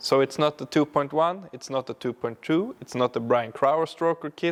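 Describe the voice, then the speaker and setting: The recording is very clean, with a silent background. A man speaks at a fairly high pitch, with ordinary pitch variation and big swings in loudness. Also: moderate pace. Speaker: car builder, YouTuber. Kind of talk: tutorial. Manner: halting, with fillers.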